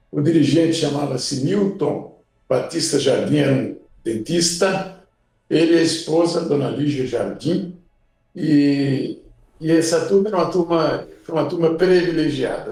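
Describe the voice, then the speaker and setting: At a fairly slow pace, a man speaks with a fairly high pitch and ordinary pitch variation, with audible room echo. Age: 80s+. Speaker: suicide prevention volunteer. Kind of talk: podcast interview. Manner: halting.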